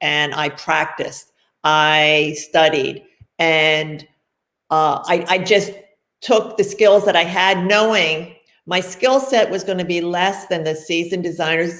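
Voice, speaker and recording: An unremarkable speaking voice: a woman with an American accent, fairly low pitch, ordinary pitch variation and a fairly slow pace. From Pennsylvania, Philadelphia area. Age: 60s. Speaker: fashion designer. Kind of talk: interview.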